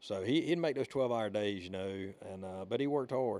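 With a Southern US accent, a man talks at a fairly quick pace in a fairly low pitch with a dark, mellow tone. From Alabama. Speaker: podcast host. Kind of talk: casual chat. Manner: rambling, casual.

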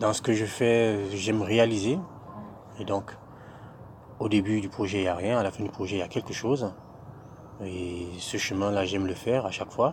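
A man talks at a fairly low pitch and a moderate pace. His intonation is fairly even, with long, frequent pauses. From Cameroon. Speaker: SAP budget applications consultant. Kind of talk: interview. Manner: hesitant, many fillers.

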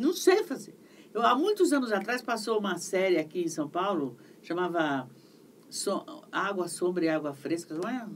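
A woman speaks at a moderate pace in an ordinary speaking voice. Her pitch sits in the middle of her range, and her intonation is lively. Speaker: voice actress and dubbing director. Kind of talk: interview. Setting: livestream.

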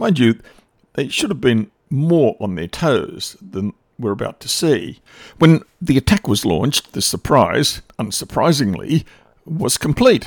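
A man speaks at a fairly slow pace with very wide pitch swings and vocal fry, recorded with a dry, close sound and no echo. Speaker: radio host. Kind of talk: scripted history documentary narration, radio show. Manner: formal; measured, dramatic storytelling.

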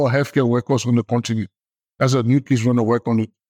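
A man speaks against a quiet background. The sound is dry and close, with no echo. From Liberia. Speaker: public health expert. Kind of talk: interview.

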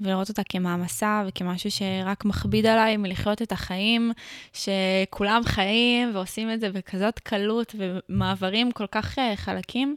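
Fairly slow, fairly even speech in a very clean recording with a silent background, dry and close with no echo. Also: woman, medium pitch for a woman. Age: 20s. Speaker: podcast host and content creator. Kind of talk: casual chat.

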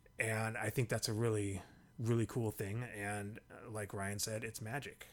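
At a moderate pace, a man speaks at medium pitch with an American accent. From Tacoma, Washington. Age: 40s. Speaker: podcast host. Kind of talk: casual chat.

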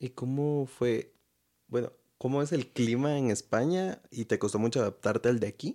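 At a moderate pace, a man speaks in a dark, mellow tone at a medium pitch with ordinary pitch variation. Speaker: podcast host. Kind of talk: casual interview.

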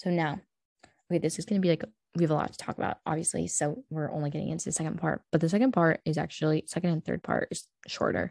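Vocal fry at a very fast pace, with ordinary pitch variation, in a very clean, silent recording with a dry, close sound and no echo. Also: woman, fairly low pitch for a woman. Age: young. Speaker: podcast host. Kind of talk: casual chat. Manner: animated.

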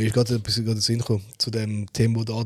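A man talks at a very fast pace in a medium-pitched, somewhat breathy voice with monotone, flat intonation. The sound is dry and close with no echo. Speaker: podcast co-host. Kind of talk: casual chat.

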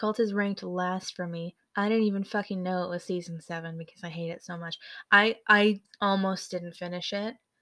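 A woman with a US Midwestern accent, medium pitch, bright, sharp tone, monotone, flat intonation, big swings in loudness and moderate pace on a very clean recording with a silent background. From US Midwest, Michigan. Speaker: podcast co-host. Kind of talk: casual chat.

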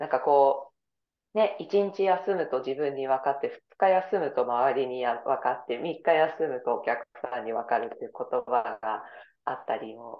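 With lively intonation and big swings in loudness, a woman speaks at a moderate pace in a very deep, low voice. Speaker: yoga instructor and dancer. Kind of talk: casual chat.

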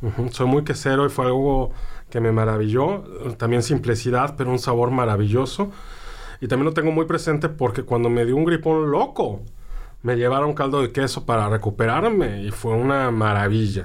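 A man talks in an ordinary speaking voice. His loudness is very even, with ordinary pitch variation. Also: medium pitch for a man, moderate pace. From central-southern Mexico. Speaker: food writer, podcast co-host. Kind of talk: casual chat.

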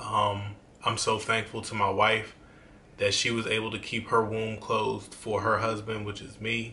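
In a room with audible echo and noticeable background noise, a man speaks at a medium pitch in a monotone, flat way. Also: moderate pace. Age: 30s. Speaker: YouTuber. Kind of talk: casual vlog monologue.

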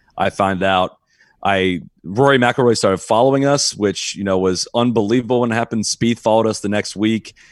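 In a very clean recording with a silent background, a man with a Midwestern accent speaks. His pace is fairly quick, with ordinary pitch variation. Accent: General American (Midwest). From Ohio, US Midwest. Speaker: golf podcast host. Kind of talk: casual chat.

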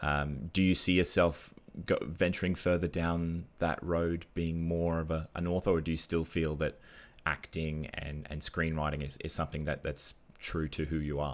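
On a very clean recording with a silent background, a man speaks in a very deep, low pitch with monotone, flat intonation. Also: moderate pace. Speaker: podcast host. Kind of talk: casual chat.

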